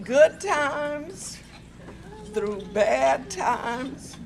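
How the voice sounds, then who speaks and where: A woman with a high pitch speaks at a very slow pace, her intonation lively. Noticeable background noise and audible room echo fill the recording. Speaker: birthday honoree. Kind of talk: speech at celebration.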